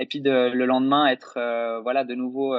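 An unremarkable speaking voice, a man at a medium pitch and a moderate pace. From French-speaking Switzerland. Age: 20s. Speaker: YouTuber and actor. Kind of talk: interview.

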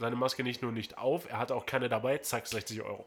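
A man's voice comes through on a very clean recording against a silent background. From northern Germany. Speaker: podcast host. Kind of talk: casual chat. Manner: halting.

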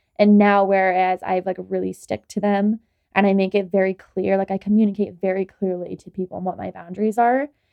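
In a monotone, flat intonation, a woman speaks at a medium pitch. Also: fairly quick pace. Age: 20s. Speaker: podcast co-host and young mother. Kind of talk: casual chat.

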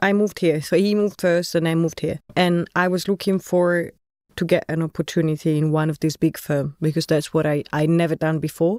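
On a very clean recording with a silent background and a dry, close sound with no echo, a woman with an Italian accent speaks fairly quickly at a fairly low pitch, in a flat monotone at very even loudness. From Italy, Florence. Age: 30s. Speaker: architect. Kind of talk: casual chat.

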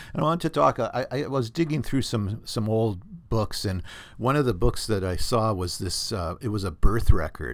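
A man with a Canadian accent talks at a fairly quick pace. The recording is very clean, with a silent background. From Canada, southern Ontario. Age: 60s. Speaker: podcast host, doctor. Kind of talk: casual monologue podcast. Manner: rambling, conversational.

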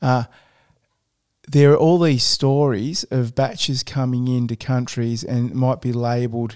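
On a very clean recording with a silent background, a man with an Australian accent speaks at medium pitch and a fairly slow pace, his dark, mellow tone carrying fairly even intonation through long, frequent pauses. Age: 50s. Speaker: podcast host. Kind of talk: interview.

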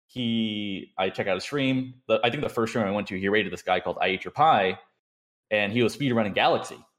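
A man speaks at a fairly quick pace with an American accent. His pitch is medium with ordinary variation. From Southern California. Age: 20s. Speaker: speedrunner and streamer. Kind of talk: casual interview chat.

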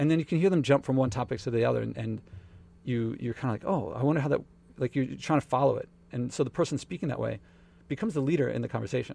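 A man with an American accent and vocal fry, medium pitch, very fast pace, and ordinary pitch variation. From Philadelphia, US. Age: 40s. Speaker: author and entrepreneur. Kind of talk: casual interview.

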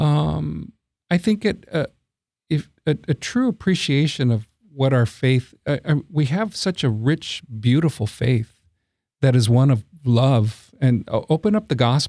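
A man with an American accent, medium-pitched with a dark, mellow tone, very wide pitch swings and very even loudness, at a fairly slow pace, in a dry, close sound with no echo. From Texas, San Antonio. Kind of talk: interview. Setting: studio. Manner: halting, frequent repetitions.

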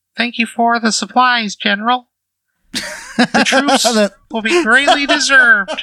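Fairly slow pace from a man doing a put-on character voice, pitched extremely high. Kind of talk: formal, military.

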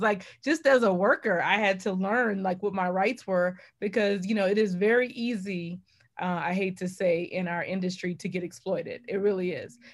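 A woman with an American accent has an unremarkable speaking voice at a medium pitch and a moderate pace, with ordinary pitch variation. The recording is very clean, with a silent background. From New Orleans, US South. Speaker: journalist and podcast host. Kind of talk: interview.

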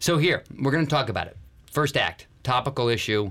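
Here a man talks at a moderate pace in an ordinary speaking voice, his intonation lively. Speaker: podcast host. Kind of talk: casual banter, business podcast. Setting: studio.

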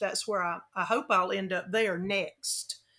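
Monotone, flat intonation runs through a woman's medium-pitched voice. She talks fairly slowly in a Southern US accent. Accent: Southern American. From US South, Florida Gulf Coast. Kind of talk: interview.

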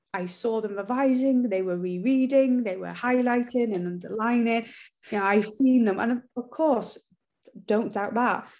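A woman talks with a North Welsh accent and a fairly high pitch. Her pace is moderate, with ordinary pitch variation. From North Wales. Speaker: teacher and education author. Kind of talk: interview.

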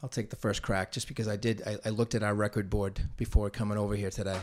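Recorded very cleanly over a silent background, a man speaks at a fairly low pitch with monotone, flat intonation. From Massachusetts, North Andover. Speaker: track coach. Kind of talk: casual chat.

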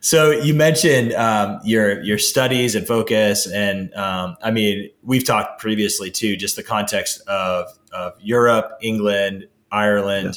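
A man's fairly low, fairly slow delivery in an unremarkable speaking voice, with ordinary pitch variation and hardly any pauses. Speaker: podcast host. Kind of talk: interview conversation. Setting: call.

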